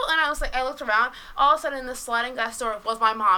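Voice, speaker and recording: A woman projects her voice loudly over noticeable background noise. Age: 20s. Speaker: podcast guest. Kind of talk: casual chat.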